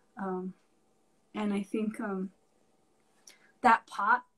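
Fairly high-pitched and somewhat breathy, a woman speaks at a fairly slow pace with fairly even intonation. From Santa Clara Pueblo, New Mexico; New Mexico. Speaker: artist; guest. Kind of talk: casual interview. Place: home room. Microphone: video call.

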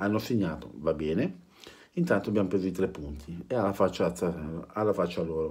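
A man's very deep, low voice, fairly quick in pace yet broken by long, frequent pauses, with ordinary pitch variation. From Italy. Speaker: football fan vlogger. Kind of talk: angry rant about TV match commentary, vulgar and sarcastic. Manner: angry, sarcastic, fast and ranting; halting, repeating words. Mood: annoyed, mocking. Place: home room. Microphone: phone near.

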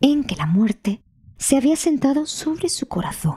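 A woman speaks at a fairly slow pace with very wide pitch swings. Her tone is dark and mellow, yet dramatic and warm. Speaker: storyteller narrator. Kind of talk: audiobook fairy-tale narration. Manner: slow, hushed and dramatic, building suspense as the emperor lies dying; storyteller's tone, warm and expressive, voicing the characters.

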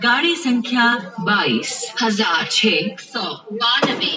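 This woman's intonation is lively, and noticeable background noise sits behind her. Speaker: railway announcer. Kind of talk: train station announcement. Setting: PA system. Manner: loud, clear.

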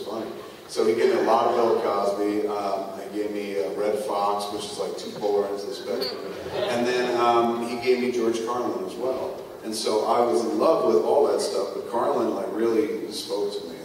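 Strong room echo surrounds a man talking at a moderate pace. Light background noise is present. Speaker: live podcast host. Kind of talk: comedic storytelling to a live audience. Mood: playful, animated. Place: stage.

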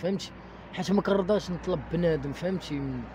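Somewhat breathy and dark, mellow in tone, a man speaks at a moderate pace with lively intonation, the sound dry with no echo and light background noise. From Morocco, Casablanca. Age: 20s. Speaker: former orphanage resident; interviewee. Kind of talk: testimony. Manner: halting. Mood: sad, resigned. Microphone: handheld.

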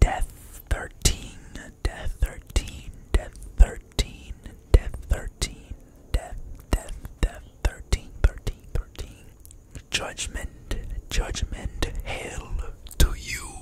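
A man at a very slow pace with long, frequent pauses, dry sound with no echo, and loud background noise. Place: kitchen. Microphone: studio mic.

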